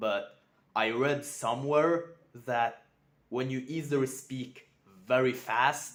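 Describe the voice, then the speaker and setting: Very slow speech in a non-native accent, with ordinary pitch variation. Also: man. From Europe. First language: not English. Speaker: self-improvement vlogger. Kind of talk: unscripted vlog monologue. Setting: talking to camera. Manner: careful, sometimes mispronouncing.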